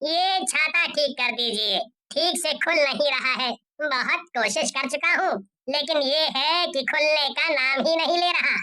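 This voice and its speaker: In a cartoonish character voice, a woman speaks with a high pitch. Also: moderate pace. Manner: curt, evasive.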